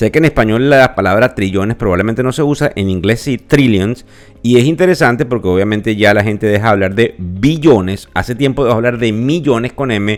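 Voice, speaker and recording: A man speaks at a medium pitch and a fairly quick pace. He has ordinary pitch variation and hardly any pauses. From Venezuela. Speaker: financial podcast host. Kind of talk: podcast market commentary. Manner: conversational with filler hesitations.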